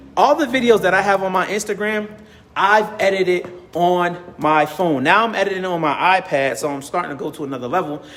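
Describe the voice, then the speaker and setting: A man with a high voice speaks fairly quickly in an animated tone over noticeable background noise. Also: ordinary pitch variation. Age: 30s. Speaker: business community organizer and content creator. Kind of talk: motivational talk to camera.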